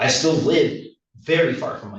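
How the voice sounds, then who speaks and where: The voice belongs to a man and is somewhat breathy. Room echo can be heard. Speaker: public commenter, electrician and homeless advocate. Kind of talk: public testimony at a court hearing. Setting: courtroom. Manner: halting, with many fillers.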